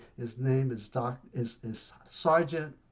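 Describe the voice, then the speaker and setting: Somewhat breathy, a man at medium pitch speaks with lively intonation. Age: 70s. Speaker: arts management consultant. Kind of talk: online presentation. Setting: video call. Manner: animated.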